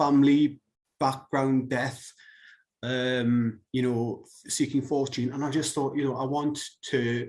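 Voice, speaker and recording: With a British accent, a man talks at a very slow pace, his medium pitch held to fairly even intonation. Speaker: webcomic artist and writer. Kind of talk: casual interview.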